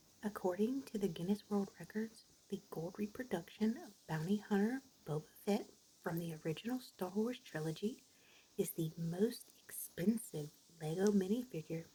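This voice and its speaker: This voice is soft-spoken. It moves along fairly slowly. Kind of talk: ASMR soft-spoken fun-fact narration. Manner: soft-spoken, relaxing.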